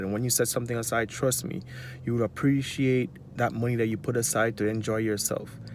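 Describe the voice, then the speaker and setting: Speaking with a Jamaican accent, a man talks at a moderate pace in a medium pitch. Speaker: finance vlogger. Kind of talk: casual advice monologue.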